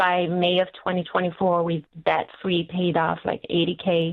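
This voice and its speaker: A woman speaks in a fairly low pitch. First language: not English. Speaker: caller. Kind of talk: phone call-in. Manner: halting.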